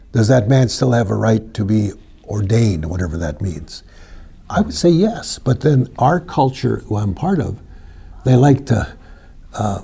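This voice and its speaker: Long, frequent pauses break up a fairly slow delivery with vocal fry, very wide pitch swings and a dark, mellow tone. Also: man, medium pitch for a man. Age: 70s. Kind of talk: interview discussion.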